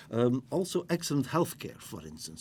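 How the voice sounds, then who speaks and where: A dark, mellow tone with very wide pitch swings and a Flemish accent. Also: man. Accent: Belgian (Flemish) English. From Belgium. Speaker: business school dean. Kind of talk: interview.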